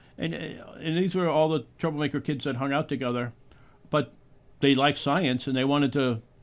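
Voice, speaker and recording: This is a plain, everyday voice from a man, pitched fairly high. He speaks at a moderate pace with ordinary pitch variation. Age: 60s. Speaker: podcast host and filmmaker. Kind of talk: interview conversation.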